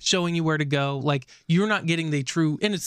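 On a very clean recording with a silent background, a man with a fairly high pitch talks very fast with ordinary pitch variation. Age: 30s. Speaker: podcast co-host. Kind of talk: casual chat.

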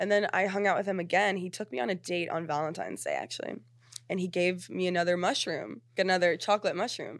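In an American accent, a woman talks at a very fast pace with medium pitch, ordinary pitch variation and vocal fry, on a very clean recording with a silent background. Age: 20s. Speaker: social media creator. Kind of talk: casual chat. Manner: animated.

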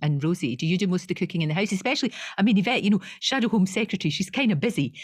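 In a very clean recording with a silent background, a woman at medium pitch talks very fast in a somewhat breathy voice. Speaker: podcast co-host. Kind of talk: casual interview chat.

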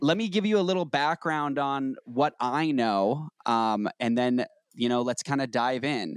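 A man in a normal speaking voice talks at a fairly high pitch and a fairly slow pace with lively intonation, captured dry and close with no echo in a very clean recording with a silent background. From Boston. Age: 30s. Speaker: podcast host. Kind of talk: podcast interview.

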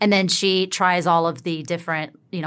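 A woman with an unremarkable speaking voice, fairly low in pitch, at a moderate pace in a very clean recording with a silent background. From US South. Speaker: writer, producer and actress. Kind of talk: casual chat.

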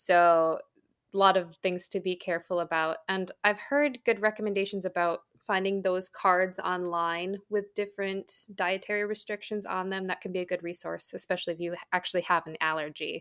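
A woman speaks in a plain, everyday voice at medium pitch and a moderate pace, with fairly even intonation, on a very clean recording with a silent background. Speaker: podcast host. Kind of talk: podcast interview.

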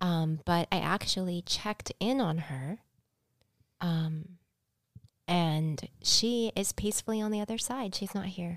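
Recorded very cleanly against a silent background with a dry, close sound and no echo, a woman speaks at medium pitch and a fairly slow pace, with ordinary pitch variation and long, frequent pauses. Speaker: shaman and psychic teacher. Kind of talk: casual interview chat. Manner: soft-spoken.

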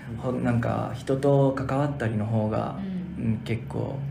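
A Spanish accent amid noticeable background noise and audible room echo. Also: man. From Puerto Rico, moved to Florida at 12. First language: Spanish (speaking Japanese). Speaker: language learner. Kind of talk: casual interview. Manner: halting, many fillers.

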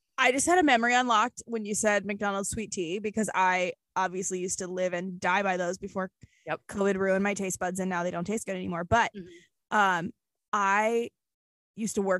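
A woman at medium pitch and a fairly quick pace, dry and close with no echo, against a quiet background. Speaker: podcast co-host. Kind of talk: casual chat. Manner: animated.

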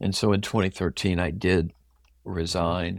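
On a very clean recording with a silent background, a man with an American accent speaks in a very deep, low pitch and a monotone, flat intonation. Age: 60s. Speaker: pastor. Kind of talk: interview, personal testimony.

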